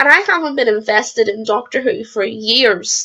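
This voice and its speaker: A woman is speaking. Her pace is moderate. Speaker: YouTuber reviewing TV episodes. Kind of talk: casual video reaction monologue. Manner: halting, stumbling over words.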